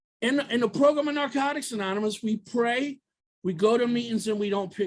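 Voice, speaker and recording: A man speaks at an extremely high pitch with a fairly quick pace. His tone is animated, and his pitch varies in an ordinary way. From US, Baltimore. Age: 50s. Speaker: recovery speaker. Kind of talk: testimony.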